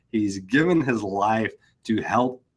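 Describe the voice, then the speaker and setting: A man at a medium pitch with an Arkansas accent, set against a quiet background. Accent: Arkansas drawl. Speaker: podcast host, accountant. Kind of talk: podcast interview.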